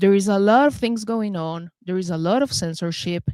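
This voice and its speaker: A woman with a Venezuelan accent speaks at medium pitch and a fairly slow pace, with ordinary pitch variation and a dry, close sound with no echo. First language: Spanish. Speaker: talk show host. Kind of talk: interview show introduction. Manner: halting.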